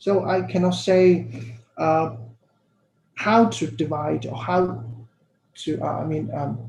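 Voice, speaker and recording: In a room with audible echo, a man speaks very slowly at a fairly high pitch, with lively intonation and long, frequent pauses. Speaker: academic presenter. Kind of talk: Q&A answer at academic symposium. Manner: halting, many repetitions and fillers.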